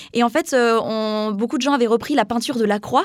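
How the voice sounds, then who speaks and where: Her intonation stays fairly even. This woman's voice is high-pitched. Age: 20s. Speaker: young communications student. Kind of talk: interview.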